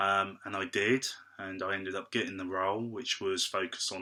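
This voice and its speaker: A man with an English accent speaks at a fairly low pitch in a bright, sharp tone. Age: 20s. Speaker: actor. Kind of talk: interview. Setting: video call. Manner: halting.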